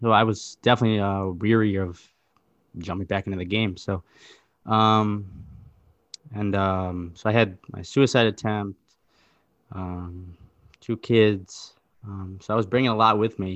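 Over a quiet background, a man with an American accent speaks at a fairly slow pace in a fairly low pitch, with monotone, flat intonation and long, frequent pauses. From Wisconsin. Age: 20s. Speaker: factory worker. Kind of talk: interview. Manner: halting, many fillers.

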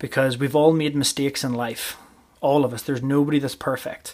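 The speaker has a Northern Irish accent and talks at a fairly quick pace in a monotone, flat intonation. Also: man. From Northern Ireland, County Armagh. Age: 30s. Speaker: rugby coach and podcast host. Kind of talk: solo podcast monologue.

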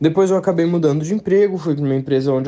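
A man is speaking. His tone is dark and mellow. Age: 20s. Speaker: listener sending a voice message. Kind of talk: recorded testimony.

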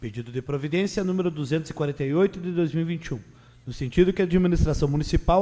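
His pitch is fairly high, with ordinary variation, and his tone is dark and mellow. The man keeps a moderate pace. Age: 30s. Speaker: city councillor and secretary. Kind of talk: political speech in council; reading official documents aloud.

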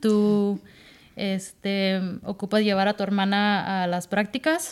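Very slowly, a woman speaks in a medium pitch. Her intonation stays fairly even on a very clean recording with a silent background. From Southern California. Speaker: escaramuza rider. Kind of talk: casual interview chat.

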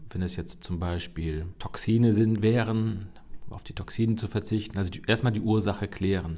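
A man's fairly low, dark and mellow voice at a moderate pace, with fairly even intonation and big swings in loudness. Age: 50s. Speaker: cardiologist, chief physician. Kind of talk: expert interview.

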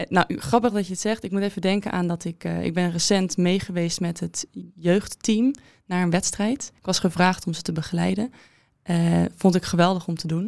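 Using an unremarkable speaking voice, a woman talks at a medium pitch and moderate pace. Her intonation stays fairly even. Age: 20s. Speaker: former fencer and student. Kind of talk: interview.

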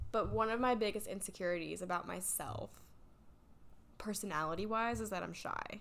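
With an American accent, a woman talks at a fairly quick pace with long, frequent pauses, vocal fry and a medium pitch of ordinary variation, in audible room echo. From North Carolina. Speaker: podcast co-host. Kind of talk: casual chat.

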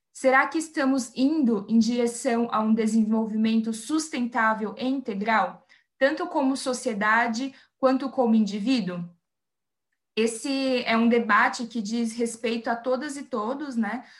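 In a plain, everyday voice, a woman speaks at a fairly slow pace, her pitch fairly high and her intonation fairly even. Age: 20s. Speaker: environmental engineer. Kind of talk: interview.

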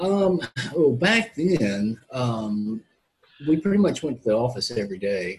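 Speaking fairly slowly, a man has a somewhat breathy voice with a Southern US accent. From Mississippi, US South. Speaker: quadriplegic investment professional. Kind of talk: interview testimony. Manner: halting.

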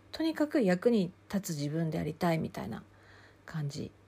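Somewhat breathy and at a fairly slow pace, a woman speaks with a fairly low pitch and a dark, mellow tone. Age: 50s. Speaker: counselor and podcast host. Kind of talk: solo podcast talk.

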